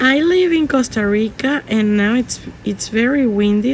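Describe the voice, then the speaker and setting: A woman speaks at a very slow pace in a Spanish accent. Noticeable background noise is present. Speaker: art teacher. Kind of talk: tutorial. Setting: outdoors or open home, windy. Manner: halting, many fillers.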